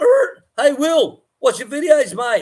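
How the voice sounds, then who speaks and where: The speaker is a man. His accent is Australian. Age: 60s. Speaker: farmer and livestream host. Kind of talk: casual livestream chat.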